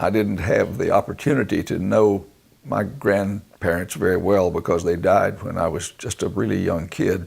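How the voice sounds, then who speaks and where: A man with a fairly low pitch speaks at a moderate pace. His voice shows vocal fry and ordinary pitch variation. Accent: North Carolina. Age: 70s. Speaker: retired broadcasting executive. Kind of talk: oral history interview. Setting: recorded interview with photographer present. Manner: halting, many fillers.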